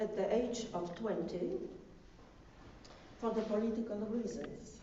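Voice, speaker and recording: A woman talks at a very slow pace in a fairly high voice. Audible room echo and noticeable background noise surround her. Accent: non-native. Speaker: piano competition judge and lecturer. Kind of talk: lecture. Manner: halting, many fillers; partly read from notes.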